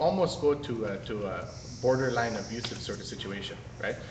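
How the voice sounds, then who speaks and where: With noticeable background noise, a man speaks using ordinary pitch variation. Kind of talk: public meeting objection. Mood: critical, earnest. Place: hall. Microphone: phone near.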